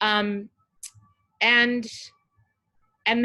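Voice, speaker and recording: Speaking at a very slow pace, a woman with an American accent uses a fairly high pitch and a bright, sharp tone. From Southern California, Orange County. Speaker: journalist and author. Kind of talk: interview.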